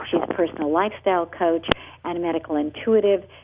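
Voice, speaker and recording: A woman's unremarkable speaking voice, medium in pitch with ordinary variation, at a fairly quick pace. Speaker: radio host. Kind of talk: radio interview. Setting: radio show.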